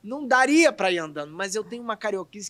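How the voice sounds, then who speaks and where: On a very clean recording with a silent background and a dry, close sound with no echo, a man with a Rio de Janeiro accent speaks with lively intonation. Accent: carioca. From Rio de Janeiro, Brazil. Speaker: actor. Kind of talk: casual chat.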